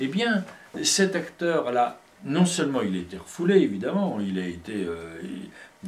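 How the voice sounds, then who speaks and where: Very wide pitch swings at a fairly slow pace. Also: man. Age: 60s. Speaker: poet and filmmaker. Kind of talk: casual conversation. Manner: halting, many hesitations.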